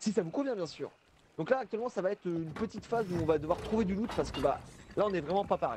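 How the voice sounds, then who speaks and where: Lively in intonation, a man talks at a very fast pace. His pitch is high. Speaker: gamer streaming with friends. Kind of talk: casual gaming chat. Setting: voice chat on Discord.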